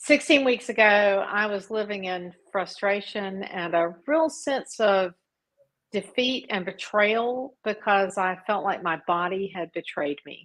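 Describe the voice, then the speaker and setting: A woman with a plain, everyday voice speaks at medium pitch and a fairly slow pace. Her intonation is lively. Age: 60s. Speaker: coaching client. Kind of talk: interview.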